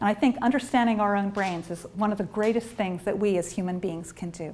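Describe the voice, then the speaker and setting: A woman with an American accent talks at a very fast pace, somewhat breathy. Her pitch varies in an ordinary way. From US. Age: 50s. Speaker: neuroscientist; presenter. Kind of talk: lecture. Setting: stage with audience. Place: meeting room.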